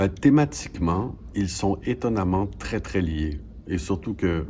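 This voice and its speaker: A man speaks at a very slow pace. His pitch is very deep and low. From Quebec, Canada. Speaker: stage actor. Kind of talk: interview answer.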